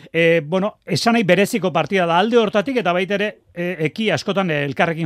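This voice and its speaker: The recording is very clean, its background silent. The speaker is a man. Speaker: radio sports host. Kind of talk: sports news and interviews.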